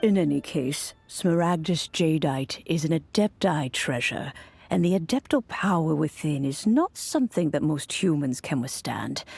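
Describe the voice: A woman puts on a character voice, low-pitched with vocal fry, a slightly husky edge and a slightly mellow tone. Her intonation is lively, there are few pauses, and faint music plays in the background. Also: moderate pace.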